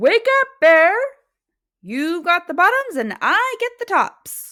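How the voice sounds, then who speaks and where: In a put-on character voice, a woman projects at an extremely high pitch with very wide pitch swings and a fairly slow pace, in a very clean recording with a silent background. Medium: read story. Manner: cheerful, persuasive.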